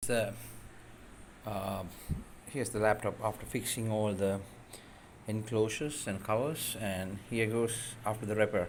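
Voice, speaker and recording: With audible room echo, a man with a non-native accent speaks at a fairly low pitch, leaving long, frequent pauses. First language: not English. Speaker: DIY tech tutorial creator. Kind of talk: tutorial. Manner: hesitant, many fillers.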